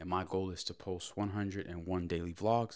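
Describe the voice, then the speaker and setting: Over a quiet background, a man with an ordinary speaking voice talks fairly slowly at a fairly low pitch. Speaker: daily vlogger. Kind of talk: casual vlog chat. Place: kitchen. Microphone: handheld.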